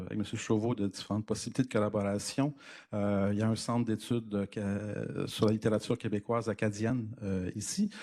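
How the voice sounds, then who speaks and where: On a very clean recording with a silent background, a man with a dark, mellow tone and medium pitch speaks at a moderate pace with fairly even intonation. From Quebec. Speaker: university professor. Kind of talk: lecture. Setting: conference room with audience. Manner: hesitant, many fillers.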